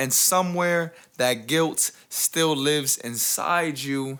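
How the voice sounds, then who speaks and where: A man's fairly high, bright and sharp voice at a very slow pace with fairly even intonation, in a very clean recording with a silent background. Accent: New York. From US Northeast, the Bronx, New York. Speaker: spoken word poet. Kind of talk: spoken word poetry performance.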